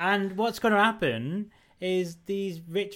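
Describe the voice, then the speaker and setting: Speaking at a fairly slow pace with a northern English accent, a man is heard on a very clean recording with a silent background. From northern England. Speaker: podcast co-host. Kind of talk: casual chat.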